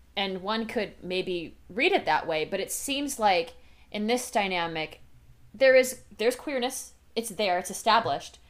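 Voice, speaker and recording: Lively intonation marks a woman's plain, everyday voice. Her pitch sits fairly high, and her pace is fairly slow. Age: 20s. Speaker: podcast co-host. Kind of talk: casual chat.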